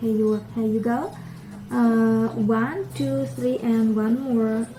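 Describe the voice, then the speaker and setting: Speaking in an Indonesian accent, a woman talks at a very slow pace. Audible room echo and music in the background come through. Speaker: parenting vlogger. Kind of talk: tutorial. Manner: casual, conversational.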